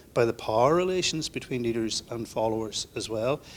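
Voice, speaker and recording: A man's medium-pitched voice with an Irish accent at a fairly quick pace, on a very clean recording with a silent background. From Northern Ireland. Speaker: leadership academic. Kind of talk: panel discussion.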